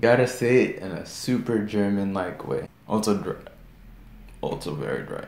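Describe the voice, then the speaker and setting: A man with a fairly low pitch and vocal fry talks at a moderate pace with lively intonation and big swings in loudness. Audible room echo surrounds his voice. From Kenya. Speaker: YouTube reaction creator. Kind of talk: reaction video commentary. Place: home room.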